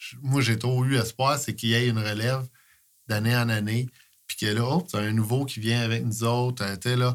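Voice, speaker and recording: A man with a plain, everyday voice talks at medium pitch and a moderate pace with fairly even intonation. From Quebec, Eastern Townships. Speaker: sports coach, volunteer. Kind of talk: casual interview chat.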